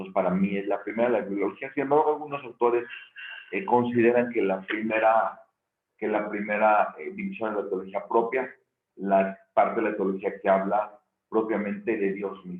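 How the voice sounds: The voice is hoarse and gravelly. It moves at a moderate pace with fairly even intonation. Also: man, fairly low pitch for a man.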